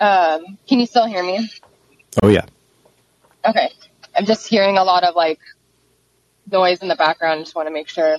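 There is ordinary pitch variation as a woman speaks, with a dry, close sound and no echo. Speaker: caller and activist. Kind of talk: personal testimony. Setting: phone call.

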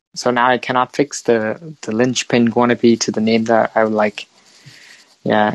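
A man speaks with a Vietnamese accent and fairly even intonation, the sound dry and close with no echo. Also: medium pitch for a man, moderate pace, quiet background. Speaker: podcast host and international student. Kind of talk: casual chat. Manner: halting.

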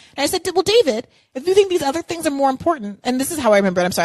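Her tone animated and her intonation lively, a woman speaks in a dry, close sound with no echo. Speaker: political podcast host. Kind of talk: live call-in show chat. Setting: live call-in app broadcast.

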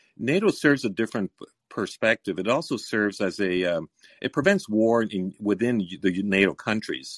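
Against a quiet background with a dry, close sound with no echo, a man speaks in a normal speaking voice at a moderate pace, fairly low in pitch with lively intonation. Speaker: caller. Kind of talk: call-in debate.

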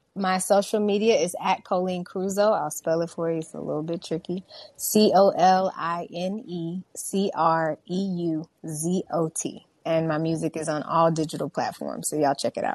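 A woman with an American accent and a plain, everyday voice, fairly low in pitch, with fairly even intonation, a moderate pace and a quiet background. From Houston, Texas. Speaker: R&B singer-songwriter. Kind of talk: radio interview.

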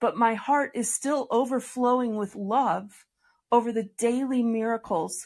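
A woman's plain, everyday voice, fairly high in pitch, fairly even in intonation and fairly slow, against a quiet background. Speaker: podcast host. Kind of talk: interview chat with religious tone. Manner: warm, earnest.

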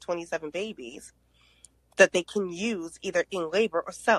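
Ordinary pitch variation runs through a woman's speech in an American accent. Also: dry, close sound with no echo. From US, grew up in the projects. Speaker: panelist on race and trust. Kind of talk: group discussion. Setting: live audio app room. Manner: animated.

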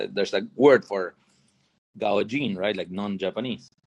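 Moderately paced speech from a man with a Spanish accent and ordinary pitch variation. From Argentina. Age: 40s. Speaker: tech company founder. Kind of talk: interview.

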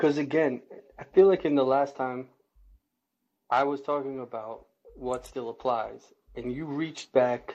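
Pausing long and often, a man talks at a moderate pace in a fairly high pitch. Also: fairly even intonation. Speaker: caller.

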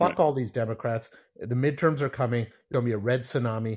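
A man talks in a somewhat breathy voice. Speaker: caller. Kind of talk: angry rant. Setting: phone call.

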